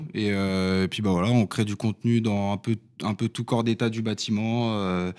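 A man's fairly low, monotone voice at a moderate pace, with flat intonation over a quiet background. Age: 20s. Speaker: builder and content creator; content creator. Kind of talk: casual chat. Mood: relaxed, friendly. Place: studio. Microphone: studio mic.

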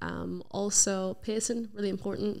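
Against a quiet background, a woman speaks with a Northern Irish accent. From Northern Ireland. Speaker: radio presenter and singer; radio presenter. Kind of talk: casual interview chat. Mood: relaxed, friendly. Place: studio. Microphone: studio mic.

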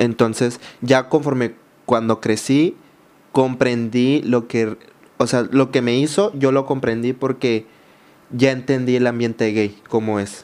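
Fairly even intonation carries speech that goes along at a very slow pace. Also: man. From Mexico, Baja California Sur (San José del Cabo); Baja California Sur, Mexico. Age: 20s. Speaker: social media content creator. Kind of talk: personal testimony in interview. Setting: studio. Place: studio. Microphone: studio mic.

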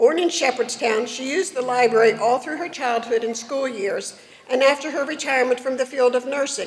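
A woman's high-pitched voice at a fairly quick pace. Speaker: presenter. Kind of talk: formal reading of award citations. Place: hall. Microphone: podium.

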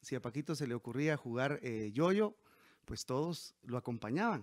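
The pace is moderate. The background is quiet. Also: man. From Guatemala, Quetzaltenango; Guatemala. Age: 40s. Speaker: mayoral candidate; candidate. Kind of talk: interview. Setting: at home. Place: home room. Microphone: handheld.

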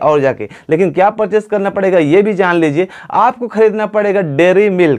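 In a quiet setting, a man with a high pitch talks fairly slowly, his pitch varying in an ordinary way. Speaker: tech channel host. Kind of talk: tutorial. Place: home room. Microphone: lapel.

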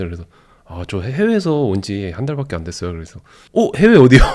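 A man speaks at a very fast pace with a medium pitch. His tone is animated, with very wide pitch swings. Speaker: YouTuber, husband of the channel owner. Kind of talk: casual chat. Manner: animated, laughs often.

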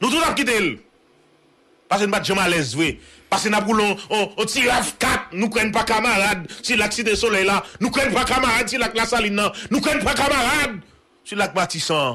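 Raising and projecting his high voice, a man speaks at a moderate pace with an animated tone, ordinary pitch variation and very even loudness. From Haiti. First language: Haitian Creole (speaking French). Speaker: news show host. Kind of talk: political rant. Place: home room. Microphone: studio mic.

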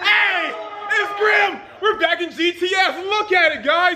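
A man's raised, shouting voice at an extremely high pitch, bright and sharp in tone, at a fairly slow pace with ordinary pitch variation, over faint background noise and faint crowd noise.

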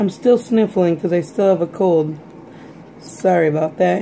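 A woman with a fairly low pitch speaks in a plain, everyday voice. Light background noise can be heard. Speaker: vlogger. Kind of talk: casual vlog chat. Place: kitchen. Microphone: phone near.

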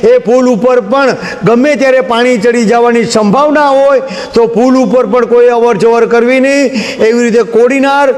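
Noticeable background noise sits under a voice with very even loudness and a monotone, flat intonation. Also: man, extremely high pitch for a man. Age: 50s. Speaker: local news reporter. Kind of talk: on-location news report.

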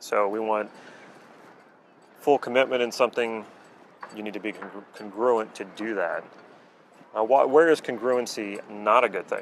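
Pausing long and often at a moderate overall pace, a man talks with fairly even intonation in a dry sound with no echo over light background noise. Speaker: coach. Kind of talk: explanatory talk to camera. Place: waterside.

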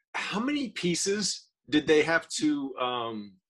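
This man speaks with an American accent and lively intonation. The background is quiet. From US South. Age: 50s. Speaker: podcast co-host and artist; podcast co-host. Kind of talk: casual interview. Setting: video call. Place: home room.

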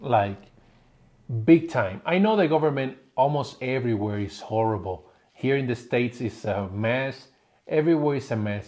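Speaking with a Spanish accent, a man keeps a moderate pace and lively intonation. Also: medium pitch for a man. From Puerto Rico. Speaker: family vlogger. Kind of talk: casual chat. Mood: critical, opinionated. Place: home room.

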